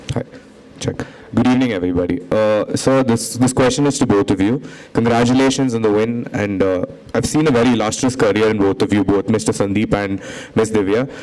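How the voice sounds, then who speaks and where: The speech moves at a fairly quick pace with very even loudness. Noticeable background noise sits behind it. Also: man, medium pitch for a man, fairly even intonation. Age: 20s. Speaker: college student, audience questioner. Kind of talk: audience question.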